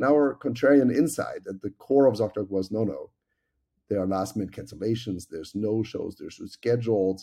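With a German accent, a man speaks at a fairly quick pace and medium pitch in a dark, mellow tone, with ordinary pitch variation and big swings in loudness, in a very clean recording with a silent background. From Germany. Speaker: tech company executive. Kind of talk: interview.

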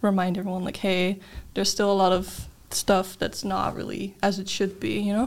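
Monotone, flat intonation from a woman at medium pitch, in a very clean recording with a silent background. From Netherlands. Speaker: university student. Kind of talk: casual interview.

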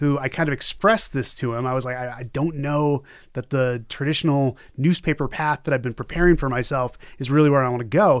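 Using an ordinary speaking voice with an American accent, a man talks at a fairly quick pace, fairly high in pitch, with ordinary pitch variation. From US Northeast, Boston area. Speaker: journalism lecturer. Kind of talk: casual interview.

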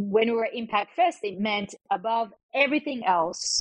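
A woman with an Australian accent and ordinary pitch variation is recorded with a dry, close sound and no echo. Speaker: venture capital investor. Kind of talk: interview.

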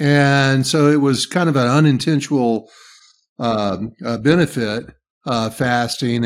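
The man sounds relaxed, with ordinary pitch variation. His recording is very clean, with a silent background. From US South. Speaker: leadership coach and podcaster. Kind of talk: casual interview. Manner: relaxed, folksy.

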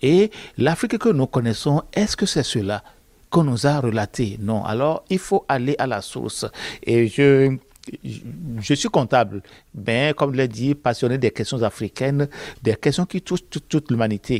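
The sound is dry and close with no echo as a man speaks at medium pitch and a moderate pace. His intonation is lively, broken by long, frequent pauses. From Benin. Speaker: author and accountant. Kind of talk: interview monologue. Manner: hesitant, with fillers and repetitions.

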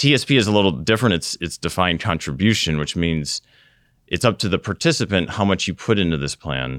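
Very fast and with vocal fry, a man in an American accent speaks at a very deep, low pitch in a dry, close sound with no echo. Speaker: retirement plan investment officer and Air Force veteran. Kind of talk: interview.

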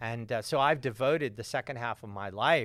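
An unremarkable speaking voice with an American accent moves at a moderate pace in a very clean recording with a silent background. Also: man. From US South, suburban Atlanta, Georgia. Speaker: author and climate activist. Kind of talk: interview. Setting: studio.

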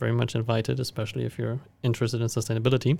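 On a very clean recording with a silent background, a man speaks with a German accent. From Germany. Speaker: university student. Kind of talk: podcast interview. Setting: studio.

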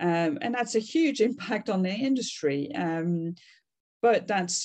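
Her medium-pitched voice carries a French accent as the woman speaks. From France. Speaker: customer experience consultant. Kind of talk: interview.

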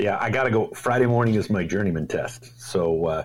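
Over noticeable background noise, the speech keeps a moderate pace and ordinary pitch variation. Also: man. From Canada, Toronto area. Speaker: knifemaker and YouTuber. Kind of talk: casual chat.

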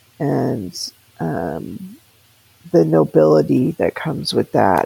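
Very slow speech over noticeable background noise. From grew up abroad in church families, incl. Tahiti and Africa. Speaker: interviewee telling life story. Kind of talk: life story interview.

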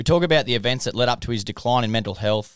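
Heard with a dry, close sound with no echo on a very clean recording with a silent background, a man talks with an Australian accent. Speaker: podcast host. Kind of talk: casual interview chat.

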